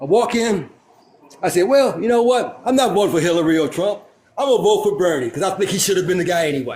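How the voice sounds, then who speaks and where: Loud and animated, a man talks at a very fast pace with lively intonation and a high pitch, over noticeable background noise. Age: 60s. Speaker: panel guest. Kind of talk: casual chat.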